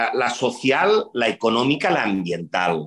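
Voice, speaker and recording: The voice has a bright, sharp tone with audible vocal fry. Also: man. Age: 50s. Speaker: urban development executive. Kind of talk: interview.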